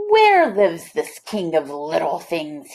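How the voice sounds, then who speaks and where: A woman puts on a growling character voice at a fairly low pitch. She speaks at a fairly slow pace. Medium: read story. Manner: blustering, domineering.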